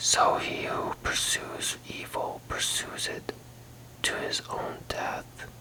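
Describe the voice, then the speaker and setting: Someone whispers in a gentle tone at a very slow pace, with noticeable background noise. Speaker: ASMR Bible reader. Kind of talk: whispered ASMR Bible reading. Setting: relaxation or sleep audio. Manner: whispered, soft-spoken, gentle.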